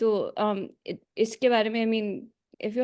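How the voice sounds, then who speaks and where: A woman with a Pakistani accent and a fairly high pitch. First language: Urdu. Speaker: meeting participant. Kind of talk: question in online meeting. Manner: halting.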